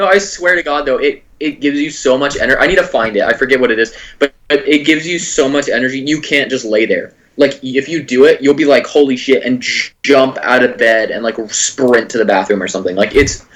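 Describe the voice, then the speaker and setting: A man's fairly high voice at a fairly quick pace, with ordinary pitch variation and hardly any pauses. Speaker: comedy podcast co-host. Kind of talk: casual chat. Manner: low-energy.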